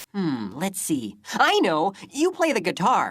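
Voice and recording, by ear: A cartoonish character voice at a middle pitch and a fairly slow pace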